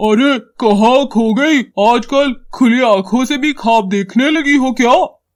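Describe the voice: A man uses a cartoonish character voice at an extremely high pitch, talking fairly slowly with ordinary pitch variation and very even loudness.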